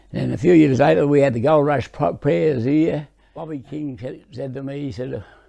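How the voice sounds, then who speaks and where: A man with an Australian accent talks at a moderate pace in a dark, mellow tone. His loudness swings widely while his pitch varies in an ordinary way. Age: 80s+. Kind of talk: interview answer. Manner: reminiscing, halting.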